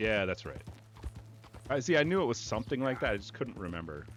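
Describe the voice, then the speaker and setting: Music plays in the background as a man talks. He keeps a moderate pace and lively intonation. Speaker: YouTube streamer who deals cards. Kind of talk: informal, profanity. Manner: casual, rambling.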